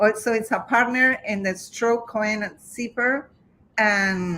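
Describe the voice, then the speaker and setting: In a fairly high pitch, a woman speaks at a fairly slow pace with a bright, sharp tone and ordinary pitch variation. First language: Spanish. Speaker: real estate professional and interview host. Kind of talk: interview. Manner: halting.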